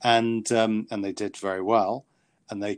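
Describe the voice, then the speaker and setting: A man with a British accent, fairly low pitch and monotone, flat intonation, in a dry, close sound with no echo and a quiet background. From Britain. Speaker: author and psychiatrist. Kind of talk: interview. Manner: halting.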